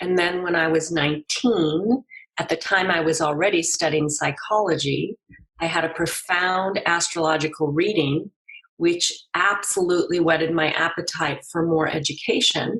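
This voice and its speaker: A woman speaks in an ordinary speaking voice, pitched fairly low. Her intonation stays fairly even at a moderate pace. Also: very even loudness. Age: 60s. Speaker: astrologer and psychologist. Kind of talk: interview.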